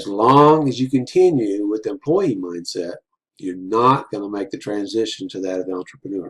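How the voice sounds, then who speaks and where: A man with a plain, everyday voice speaks at a moderate pace with lively intonation. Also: fairly low pitch for a man. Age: 60s. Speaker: business coach. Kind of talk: motivational talk. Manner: casual, filler-heavy.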